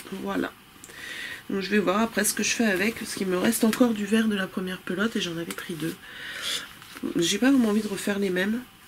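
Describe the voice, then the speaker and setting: Against noticeable background noise, a woman at a medium pitch talks very fast but with long, frequent pauses. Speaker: knitting podcaster. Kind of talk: casual chat. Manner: hesitant, many fillers.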